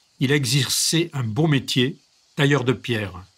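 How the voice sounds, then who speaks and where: A man's fairly high voice at a very slow pace. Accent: regional French. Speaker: reader. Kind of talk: reading aloud of a memoir.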